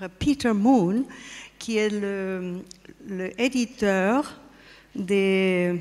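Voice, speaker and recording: A woman with a non-native accent speaks at a medium pitch and a very slow pace. She pauses long and often, with ordinary pitch variation. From Spain and Austria. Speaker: artist and pyramid project representative. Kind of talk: conference talk. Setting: stage with audience. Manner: halting.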